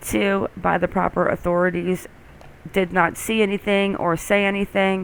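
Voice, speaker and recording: A woman speaks at a fairly slow pace. She has an American accent. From South Florida. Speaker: true crime YouTuber. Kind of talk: reaction and reading viewer comments. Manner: conversational, animated.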